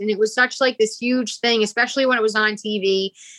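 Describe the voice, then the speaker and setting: A woman speaks at a fairly quick pace with a Rhode Island accent. Her fairly high voice has a bright, sharp tone in a dry, close recording with no echo. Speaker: musician. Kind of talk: casual chat.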